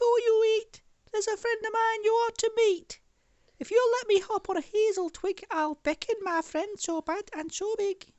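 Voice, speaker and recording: The voice is a squeaky, put-on character voice. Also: man, extremely high pitch for a man, moderate pace. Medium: read story.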